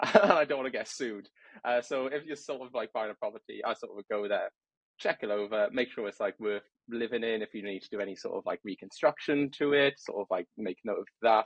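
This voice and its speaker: In a British accent, a man talks fairly quickly with lively intonation and a medium pitch. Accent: regional British accent, noticeable. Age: 20s. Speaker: trainee property surveyor, podcast guest. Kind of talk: casual interview chat.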